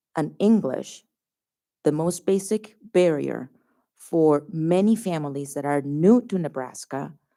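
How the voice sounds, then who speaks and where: A woman speaks in a very deep, low voice with a dark, mellow tone. Her intonation is lively. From Colombia. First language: Spanish. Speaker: sociologist testifying at public hearing. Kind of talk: public hearing testimony. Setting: public hearing venue with audience.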